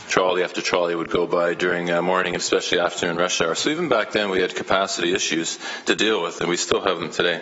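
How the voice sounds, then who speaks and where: A man with a Canadian accent speaks at a very fast pace with hardly any pauses, in a very deep, low pitch. His intonation is monotone and flat, and there is noticeable background noise. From Canada, Hamilton, Ontario. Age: 60s. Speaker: elementary school teacher, public delegate. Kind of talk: public delegation speech at council meeting. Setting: city council meeting. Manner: hesitant, many fillers and repetitions.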